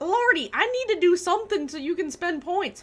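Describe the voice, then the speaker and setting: Her pitch is extremely high with very wide swings as this woman, in an American accent, speaks at a fairly slow pace. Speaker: gaming live streamer. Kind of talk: casual live stream chat while gaming. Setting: live stream.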